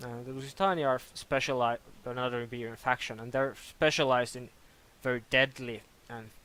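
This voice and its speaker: At a fairly quick pace, a man talks in a bright, sharp tone at a medium pitch. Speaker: game modder. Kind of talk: tutorial. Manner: halting, with false starts.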